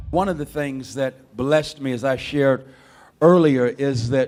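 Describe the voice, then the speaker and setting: A man with a plain, everyday voice speaks at a fairly slow pace, with a medium pitch and fairly even intonation. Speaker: conference host. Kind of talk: introduction speech at conference.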